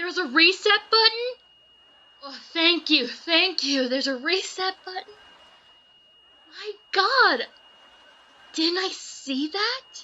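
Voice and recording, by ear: A woman does a put-on character voice at an extremely high pitch, bright and sharp in tone, with lively intonation. Her pace is slow, with long, frequent pauses.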